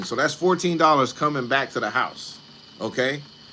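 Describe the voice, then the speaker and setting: With lively intonation and a moderate pace, a man talks amid noticeable background noise. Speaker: online creator talking about film streaming income. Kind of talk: live stream talk. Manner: animated.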